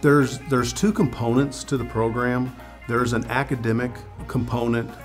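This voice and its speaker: A man's voice with clear music in the background. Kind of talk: interview answer. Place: workshop. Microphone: lapel.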